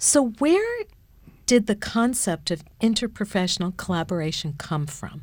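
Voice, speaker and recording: A woman's somewhat breathy voice at a medium pitch, fairly slow in pace, with very wide pitch swings. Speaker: podcast moderator and university administrator. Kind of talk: interview.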